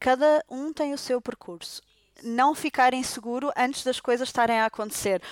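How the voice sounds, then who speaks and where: In a Portuguese accent, a woman speaks at a high pitch with ordinary pitch variation. Her pace is moderate, and the sound is dry and close with no echo. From Portugal. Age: 30s. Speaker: doctor. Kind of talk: casual interview. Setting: at the host's home.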